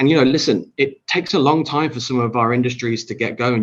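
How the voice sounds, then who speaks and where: A man talks at a very fast clip with a British accent. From Britain. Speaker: tourism industry leader. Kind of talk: panel discussion.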